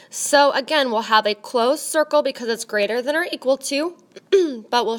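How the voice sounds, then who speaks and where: Lively intonation from a woman amid noticeable background noise. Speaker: math teacher. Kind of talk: tutorial.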